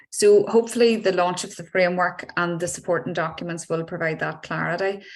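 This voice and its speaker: This speaker has a Northern Irish accent and fairly even intonation. The pace is fairly quick. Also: woman, fairly low pitch for a woman. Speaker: health service official. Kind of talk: panel discussion.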